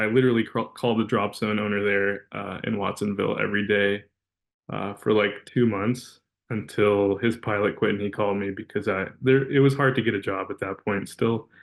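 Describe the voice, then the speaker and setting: Flat and monotone, a man with a West Coast accent talks at a fairly low pitch and a moderate pace. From Los Angeles, California (Van Nuys). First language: Russian. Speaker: corporate pilot. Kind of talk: webinar career talk. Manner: casual, many fillers.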